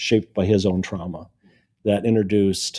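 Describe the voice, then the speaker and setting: A man with an American accent, fairly low pitch, a dark, mellow tone and monotone, flat intonation, in a very clean recording with a silent background. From US Midwest (Kankakee, Illinois). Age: 70s. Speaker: author. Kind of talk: interview. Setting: in-person interview.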